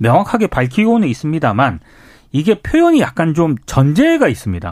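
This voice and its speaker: Recorded very cleanly with a silent background, a man's voice swings very widely in pitch. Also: dry, close sound with no echo. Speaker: journalist. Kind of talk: radio news briefing. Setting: studio.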